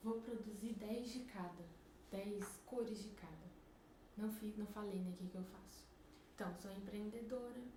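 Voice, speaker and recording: A soft-spoken woman talks at a moderate pace with long, frequent pauses, her medium-pitched voice fairly even in intonation, amid audible room echo and noticeable background noise. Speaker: entrepreneur vlogger. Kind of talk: casual vlog monologue. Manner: soft-spoken, quiet. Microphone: mic at maximum, speaking quietly.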